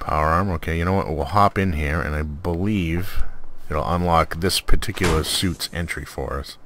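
A man's low pitch and fairly bright tone, with ordinary pitch variation at a moderate pace

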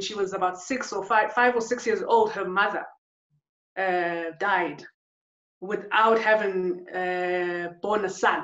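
Audible room echo surrounds a woman speaking with ordinary pitch variation against a quiet background. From South Africa, KwaZulu-Natal township. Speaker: photographer and artist. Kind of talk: interview conversation. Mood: calm, reflective. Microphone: webcam.

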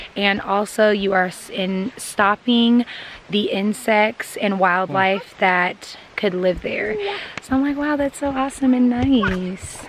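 A woman at a fairly slow pace with ordinary pitch variation, a dry sound with no echo and light background noise. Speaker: vlogger. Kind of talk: casual vlog chat. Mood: excited, admiring. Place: forest. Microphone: phone near.

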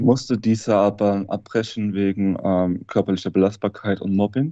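A man's fairly low-pitched voice with a dark, mellow tone, fairly even intonation and a moderate pace, dry with no echo, over a quiet background. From Hesse, Germany. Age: 30s. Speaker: former drug user telling his story; interview guest. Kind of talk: interview testimony. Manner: halting. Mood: subdued, reflective. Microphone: video call.

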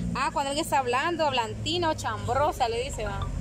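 A woman's dry voice with no echo, set against loud background noise. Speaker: elder telling local sayings. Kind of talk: casual talk to camera. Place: garden. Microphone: phone near.

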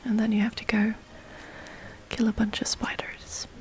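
A whispered voice comes through with background noise clearly audible. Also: woman. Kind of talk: ASMR gameplay commentary. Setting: gameplay recording with breathing sounds.

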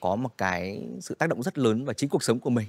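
A fairly quick pace with lively intonation. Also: man, dry sound with no echo. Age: young. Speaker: podcast host. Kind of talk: podcast interview hosting. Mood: warm, polite. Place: studio. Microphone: studio mic.

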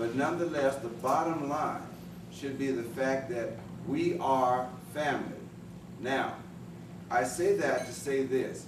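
A man talks at a fairly slow pace with long, frequent pauses and ordinary pitch variation. Room echo is audible, and there is noticeable background noise. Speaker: elder family speaker. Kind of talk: speech. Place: meeting room. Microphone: camera far.

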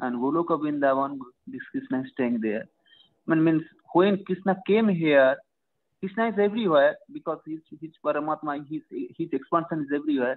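Against a quiet background, a man with a fairly high pitch and an unremarkable speaking voice talks at a moderate pace with lively intonation. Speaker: audience member asking questions; audience member. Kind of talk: q&a; question in an online religious seminar. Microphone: video call.

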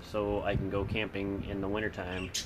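This man has a fairly low pitch and a fairly slow pace. There is noticeable background noise. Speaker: vlogger. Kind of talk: casual vlog chat. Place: home room. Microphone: phone near.

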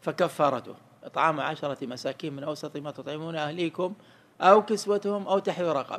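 With big swings in loudness, a man talks at a moderate pace and ordinary pitch variation. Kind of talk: lecture. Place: hall. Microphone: studio mic.

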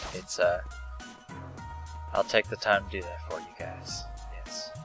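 At a fairly slow pace, the voice comes through dry with no echo over noticeable background noise. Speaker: let's play gamer. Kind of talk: casual gameplay commentary.

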